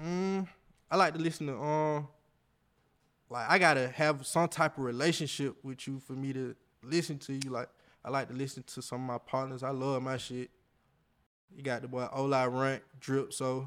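The speaker has an American accent and a moderate pace. The intonation is fairly even, with long, frequent pauses. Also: man, medium pitch for a man. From Georgia, Atlanta area. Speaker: rapper. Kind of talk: interview. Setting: studio.

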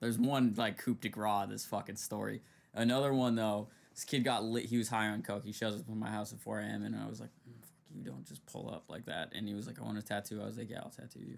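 A man speaks at a very fast pace in a fairly low pitch, with big swings in loudness and ordinary pitch variation. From Vermont. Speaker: music producer, podcast host. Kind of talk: casual chat.

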